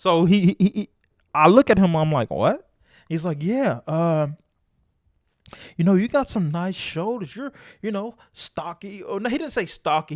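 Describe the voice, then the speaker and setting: High-pitched for a man, his animated voice carries lively intonation. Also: dry, close sound with no echo, very clean recording, silent background. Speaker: podcast co-host. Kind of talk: casual chat.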